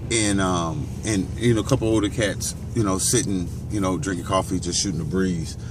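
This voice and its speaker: A man with an American accent and a very deep, low pitch, ordinary pitch variation and a moderate pace, over noticeable background noise and audible room echo. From Gary, Indiana, US Midwest. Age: 40s. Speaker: vlogger. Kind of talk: casual monologue. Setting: outdoors, walking or driving along a street. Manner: halting, many fillers.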